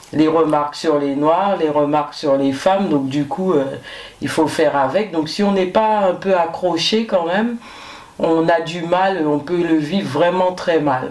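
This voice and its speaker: Her pitch varying in an ordinary way, a woman speaks fairly slowly with audible room echo. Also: fairly low pitch for a woman. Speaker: firefighter; guest. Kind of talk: interview; interview answer. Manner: hesitant, many fillers. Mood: calm, reflective. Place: studio.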